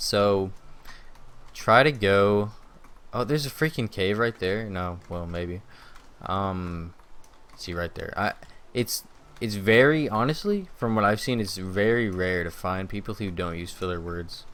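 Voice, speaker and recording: Speaking with a Southern US accent, a man uses a fairly low pitch and ordinary pitch variation at a fairly slow pace with long, frequent pauses. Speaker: gaming YouTuber. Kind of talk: gameplay commentary. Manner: many filler words.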